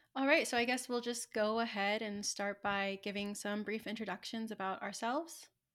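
A woman with an American accent and an ordinary speaking voice talks at a moderate pace with hardly any pauses. Her pitch is fairly high, with ordinary pitch variation. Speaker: podcast co-host, museum curator. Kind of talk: casual chat.

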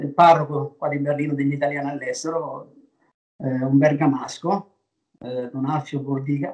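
The man's pitch is fairly high and his intonation fairly even. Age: 60s. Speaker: restaurateur. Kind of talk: interview. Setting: video call. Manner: halting.

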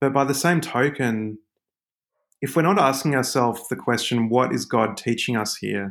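Speaking with an Australian accent, a man uses a medium pitch and ordinary pitch variation. The recording is very clean with a silent background. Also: moderate pace. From Australia, Sydney. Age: 30s. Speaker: author. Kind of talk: casual chat. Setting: podcast interview.

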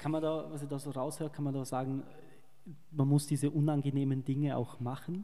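A man with a fairly high pitch and a dark, mellow tone, monotone and flat in intonation, at a fairly quick pace. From Vorarlberg, Austria. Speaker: interview show host. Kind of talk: interview.

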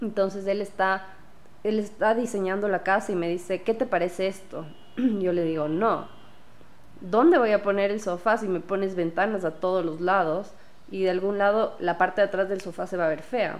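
A woman talks with an unremarkable speaking voice. Her intonation stays fairly even. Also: medium pitch for a woman, moderate pace. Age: 20s. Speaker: interior designer. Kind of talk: casual chat.

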